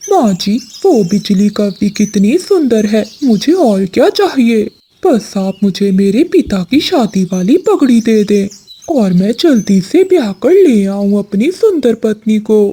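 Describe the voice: A cartoonish character voice, female-sounding and fairly high in pitch. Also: fairly slow pace.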